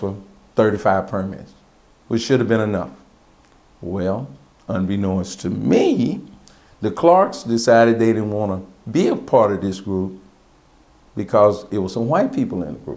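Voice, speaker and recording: A man with an American accent speaks at a moderate pace in a fairly low voice with ordinary pitch variation. He takes long, frequent pauses, and audible room echo surrounds his words. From Texas, Austin. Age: 60s. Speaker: cab company owner. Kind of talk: oral history interview. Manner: conversational.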